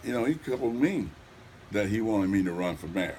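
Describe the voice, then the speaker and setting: With a Southern US accent, a man talks at a moderate pace. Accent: US South. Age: 70s. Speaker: mayoral candidate. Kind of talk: interview.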